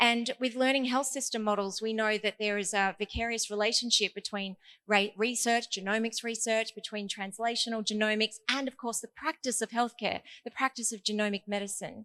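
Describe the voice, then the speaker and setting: A bright, sharp tone at a fairly quick pace, with fairly even intonation and a dry, close sound with no echo. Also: woman, fairly high pitch for a woman. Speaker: conference speaker, digital health expert. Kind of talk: conference talk. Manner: fast.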